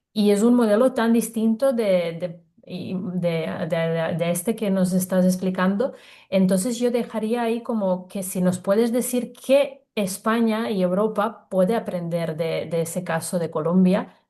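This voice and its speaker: A woman's medium-pitched voice, dark and mellow in tone, with ordinary pitch variation at a fairly slow pace. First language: not Spanish (another native language) (speaking Spanish). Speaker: co-host. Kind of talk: panel discussion. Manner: halting, frequent repetitions.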